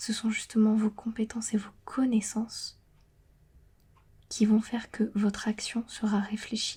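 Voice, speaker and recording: A woman whispering, somewhat breathy, at a fairly slow pace with long, frequent pauses. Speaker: ASMR creator and tarot card reader. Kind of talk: ASMR tarot reading. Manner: whispering, partly dropping to normal voice; hesitant with many fillers.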